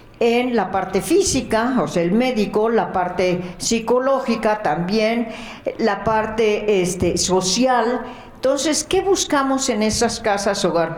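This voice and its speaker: The speech moves at a very slow pace with very even loudness and ordinary pitch variation, with audible room echo and noticeable background noise. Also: woman, fairly high pitch for a woman. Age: 70s. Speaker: charity founder, nurse. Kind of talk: testimony.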